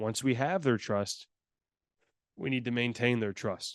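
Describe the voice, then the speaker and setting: Here a man speaks with an American accent. His pitch sits in the medium range. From US Midwest, Chicago. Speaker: customer service consultant. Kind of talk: webinar presentation. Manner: fast.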